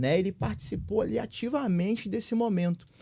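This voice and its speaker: The recording is very clean, with a silent background behind a man whose tone is dark and mellow. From Brazil, Minas Gerais (Viçosa). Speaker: guest speaker. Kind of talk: podcast discussion.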